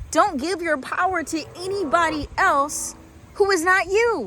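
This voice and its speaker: A woman is speaking. Her tone is animated. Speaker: spiritual vlogger. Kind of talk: motivational talk.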